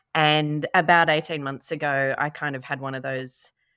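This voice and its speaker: A woman speaks in an Australian accent. Her pitch is very deep and low, with a bright, sharp tone. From Australia, Sydney. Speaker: workplace consultant. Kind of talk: casual chat.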